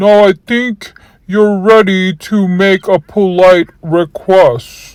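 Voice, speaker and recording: Very slowly, a put-on character voice at a middle pitch drags along. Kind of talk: children's bedtime story read-aloud. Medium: read story. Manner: rhyming, instructive.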